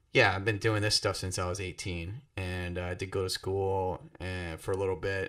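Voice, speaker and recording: On a very clean recording with a silent background, a man with an American accent speaks at a fairly quick pace in a bright, sharp tone. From South Florida. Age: 20s. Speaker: podcast co-host, saxophonist. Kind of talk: casual chat.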